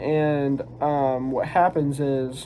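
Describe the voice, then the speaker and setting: Over noticeable background noise, a man speaks with a fairly high pitch and monotone, flat intonation. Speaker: manga reviewer. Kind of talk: casual talk to camera. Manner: short of breath at times; hesitant, many fillers.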